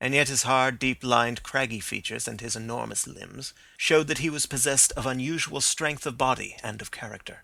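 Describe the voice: This is plain reading aloud. The text is read plainly.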